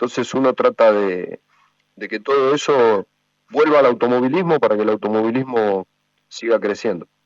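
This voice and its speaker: A moderate pace and ordinary pitch variation in a dry, close sound with no echo. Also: man, medium pitch for a man. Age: 60s. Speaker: motorsport executive and former racing driver. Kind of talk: interview. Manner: hesitant, many fillers.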